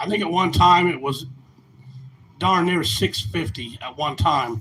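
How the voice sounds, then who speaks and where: Someone with an American accent speaks fairly slowly in a bright, sharp tone with vocal fry and very wide pitch swings. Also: man, fairly high pitch for a man. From Indiana. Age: 60s. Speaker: farmer and trucking business owner. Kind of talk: rally speech. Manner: halting.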